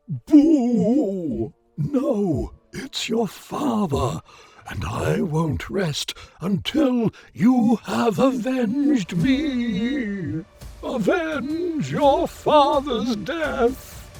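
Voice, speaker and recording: A man uses a put-on character voice at an extremely high pitch, speaking at a very slow pace. Faint music sits in the background. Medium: audio drama. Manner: solemn, spooky.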